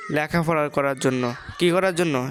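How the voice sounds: A woman talks in a low pitch with ordinary pitch variation. Her pace is fairly slow.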